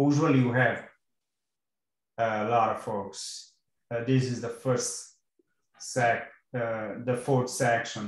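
A man's somewhat breathy, medium-pitched voice in a monotone, flat intonation, very slow with long, frequent pauses, audible room echo and a quiet background. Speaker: course instructor. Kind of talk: online class lecture. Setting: video call. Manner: hesitant, many fillers. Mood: relaxed, friendly. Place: home room. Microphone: video call.

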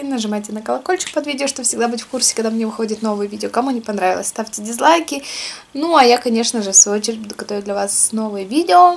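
Her intonation is lively as this woman talks at a very fast pace. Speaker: food vlogger. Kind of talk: casual vlog chat while eating. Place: home room. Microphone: camera far.

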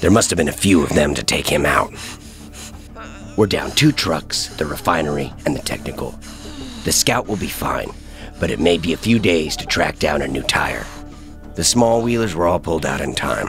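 A man's hoarse, very deep, low put-on character voice at a moderate pace, with clear music in the background. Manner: blunt, commanding.

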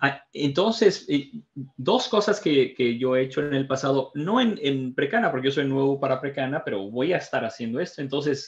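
Against a quiet background, a man with a fairly high pitch and a somewhat breathy voice talks at a moderate pace with lively intonation. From Mexico. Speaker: training facilitator, IT professional; training facilitator. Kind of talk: tutorial. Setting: video call. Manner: halting. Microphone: video call.

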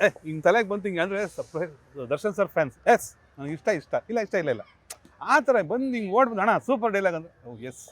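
The voice belongs to a man. Its pitch moves up and down across a very wide range. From Bangalore, Karnataka, India. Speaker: film actor and dialogue writer. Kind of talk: interview.

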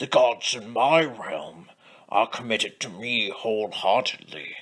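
A man speaks fairly slowly, his intonation lively. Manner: formal, pompous, defiant.

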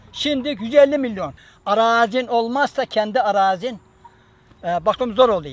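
A fairly slow delivery with ordinary pitch variation, dry with no echo. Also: man, extremely high pitch for a man. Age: 80s+. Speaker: farmer. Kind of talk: documentary interview, casual talk. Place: garden.

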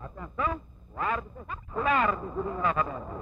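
There is light background noise as a man speaks. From Portugal. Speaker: sports commentator. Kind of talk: live football play-by-play commentary. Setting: old 1959 TV broadcast recording. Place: stadium.

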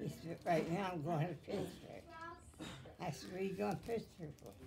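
Over music in the background, a woman talks with lively intonation at a fairly low pitch. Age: 80s+. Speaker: great-grandmother telling her story. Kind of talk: reminiscing interview answer. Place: home room. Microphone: phone near.

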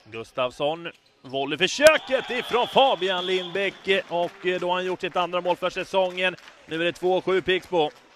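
A man with a high pitch speaks at a fairly slow pace. The sound is dry with no echo, over light background noise. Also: ordinary pitch variation. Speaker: sports commentator. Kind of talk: live sports commentary (highlights reel voice-over). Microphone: headset.

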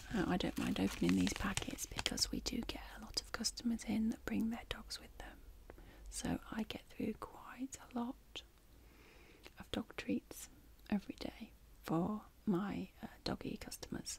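A woman whispers in a gentle tone at a fairly slow pace. Her loudness swings widely. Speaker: ASMR creator playing a pet shop clerk. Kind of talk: soft-spoken role-play chat. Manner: soft, gentle ASMR speaking voice. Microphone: studio mic.

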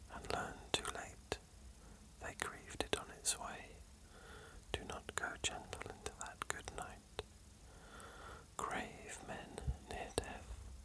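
Whispered words come very slowly with long, frequent pauses, while noticeable background noise runs underneath. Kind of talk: poetry reading.

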